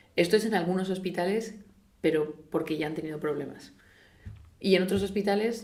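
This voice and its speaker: A woman talks fairly quickly at a medium pitch. Her voice carries audible room echo. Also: ordinary pitch variation. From Spain. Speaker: orthopaedic surgeon. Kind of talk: interview. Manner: halting, many false starts.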